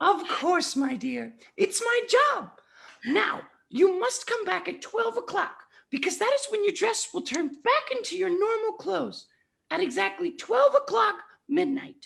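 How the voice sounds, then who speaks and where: A female-sounding voice in a put-on character voice reaches an extremely high pitch. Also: moderate pace. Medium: stage play. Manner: warm, affectionate.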